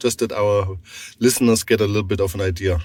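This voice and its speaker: With a German accent, a man talks at a moderate pace. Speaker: podcast host. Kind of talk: interview.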